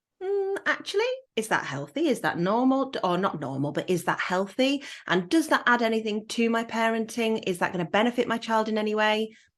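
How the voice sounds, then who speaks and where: In a Yorkshire accent, a woman speaks at a fairly quick pace with a fairly high pitch and lively intonation. Behind her, the background stays quiet. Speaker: podcast host. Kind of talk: casual chat.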